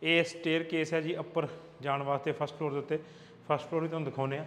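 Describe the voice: A man speaks fast at a fairly high pitch. His tone is fairly bright, and his pitch moves little.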